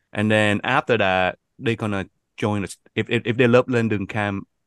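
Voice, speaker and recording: Fairly slow and with fairly even intonation, a man with a Vietnamese accent talks at a fairly low pitch. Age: 40s. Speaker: youth camp organizer. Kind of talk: podcast interview.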